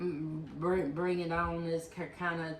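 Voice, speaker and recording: A woman with a fairly low pitch speaks at a fairly slow pace amid audible room echo and noticeable background noise. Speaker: person with chronic illness. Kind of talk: testimony. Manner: halting.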